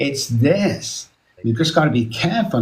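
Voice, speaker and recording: In a somewhat breathy voice with lively intonation, a man speaks at a moderate pace, with audible room echo. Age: 60s. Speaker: addiction specialist. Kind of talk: casual chat. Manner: animated.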